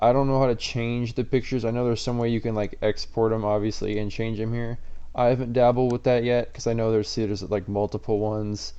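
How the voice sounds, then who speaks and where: Speaking at a very fast pace, a man has a medium pitch and a dark, mellow tone. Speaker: tech tutorial youtuber. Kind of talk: tutorial. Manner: casual.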